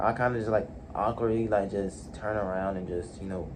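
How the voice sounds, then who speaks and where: A man's voice carries audible room echo. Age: 20s. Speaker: vlogger. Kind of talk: personal vlog monologue. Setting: alone in his room. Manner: halting; loud when alone.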